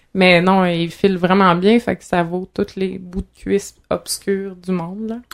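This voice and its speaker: A woman at a fairly slow pace, medium pitch, flat and monotone intonation. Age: 20s. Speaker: organ donor and activist. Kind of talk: casual chat.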